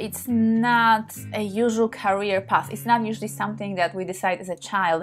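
Faint music plays behind a woman speaking. She keeps a moderate pace with ordinary pitch variation. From Poland. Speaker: sex therapist and tantra practitioner. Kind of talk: casual talk to camera. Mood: warm, open, personal. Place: home room. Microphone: phone near.

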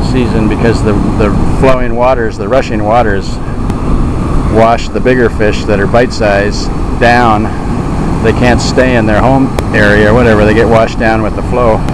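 The speech has long, frequent pauses and a dry sound with no echo, set against loud background noise. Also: moderate pace. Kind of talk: casual commentary. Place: waterside. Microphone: phone near.

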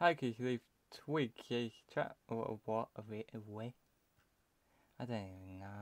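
A man with a British accent speaks at a fairly slow pace in a medium pitch with ordinary pitch variation. He leaves long, frequent pauses, and the sound is dry and close with no echo. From UK. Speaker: gaming video creator. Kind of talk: gameplay commentary. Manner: casual, rambling.

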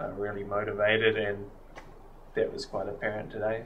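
Light background noise beneath a man speaking. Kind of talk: interview answer. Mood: relaxed, reflective, occasional laugh.

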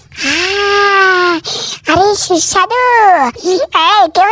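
A man puts on a character voice. It sits extremely high in pitch. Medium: dub.

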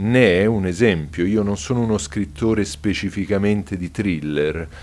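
A man speaks at a fairly slow pace with a very deep, low pitch. Light background noise is audible. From Rome, Italy; Italy. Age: 40s. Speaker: novelist. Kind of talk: interview monologue. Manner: hesitant with fillers. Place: home room.

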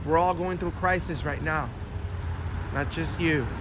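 A man at a moderate pace, in a dry sound with no echo, with noticeable background noise. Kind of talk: casual vlog commentary. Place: street. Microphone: phone near.

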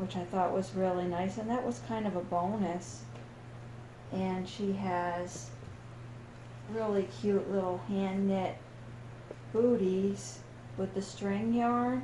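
Over noticeable background noise and audible room echo, a woman with a medium pitch speaks at a very slow pace, with long, frequent pauses and very wide pitch swings. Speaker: doll collector YouTuber. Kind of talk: casual unboxing vlog. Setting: dining room at home. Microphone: echo in the room.

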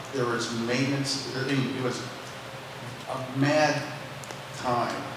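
A man speaks at a very slow pace in a room with strong echo. There is noticeable background noise as well. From North Dakota. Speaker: retired missile launch officer. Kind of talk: panel discussion. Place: stage.

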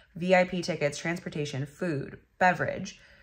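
Somewhat breathy, a woman speaks at a very slow pace. The background stays quiet. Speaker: vlogger. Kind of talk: casual vlog chat. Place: home room. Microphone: phone near.

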